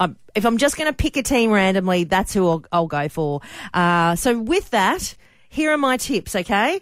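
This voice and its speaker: An animated woman with an Australian accent, very wide pitch swings and very even loudness, on a very clean recording with a silent background. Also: medium pitch for a woman, moderate pace. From Australia, Sydney and Queensland. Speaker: radio host. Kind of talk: radio segment, casual talk. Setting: radio studio. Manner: animated, laughing.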